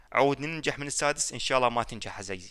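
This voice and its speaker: Against a quiet background, a man with an Iraqi accent talks at a fairly quick pace in a bright, sharp tone with fairly even intonation. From Iraq, Baghdad. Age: 20s. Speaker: gaming YouTuber. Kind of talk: casual Q&A reading comments. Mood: joking, teasing. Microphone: headset.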